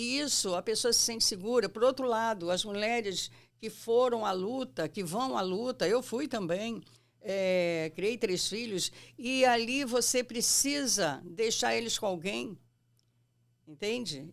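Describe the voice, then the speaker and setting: At a fairly slow pace, a woman speaks in an ordinary speaking voice with a fairly high pitch and lively intonation. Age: 60s. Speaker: psychoanalyst. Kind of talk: interview.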